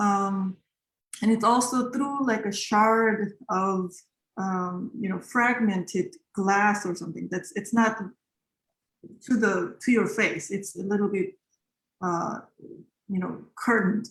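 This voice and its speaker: A woman's somewhat breathy, medium-pitched voice at a very slow pace, with ordinary pitch variation and long, frequent pauses. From South Korea. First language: Korean. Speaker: composer. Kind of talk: interview. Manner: halting.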